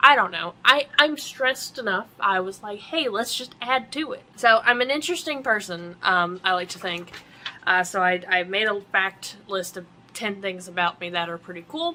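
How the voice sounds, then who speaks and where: Noticeable background noise sits behind a woman speaking at a medium pitch and moderate pace. Her intonation is lively, and her loudness swings widely. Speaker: vlogger. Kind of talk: casual vlog. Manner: halting, many ums.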